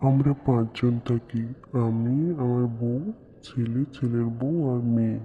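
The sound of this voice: A man's cartoonish character voice, medium-pitched and monotone, at a fairly slow pace over clear background noise.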